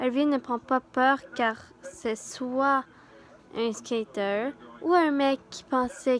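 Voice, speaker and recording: A woman speaks with a Quebec accent and fairly even intonation. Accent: Québécois. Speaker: youtuber reading horror stories. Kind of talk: reading aloud a horror story with casual asides. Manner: halting, with hesitations and self-corrections.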